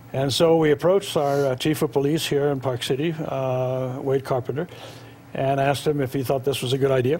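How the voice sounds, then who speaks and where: Over noticeable background noise, a man with a fairly high pitch talks at a fairly quick pace, his intonation fairly even. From Norway. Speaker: charity founder. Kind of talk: TV interview. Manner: halting, many fillers.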